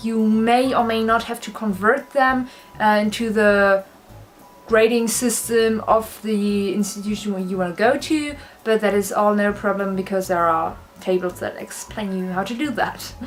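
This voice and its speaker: Woman with a German accent and a fairly high pitch, moderate pace, fairly even intonation, with music in the background. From Germany. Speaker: university student. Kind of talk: casual vlog talk to camera.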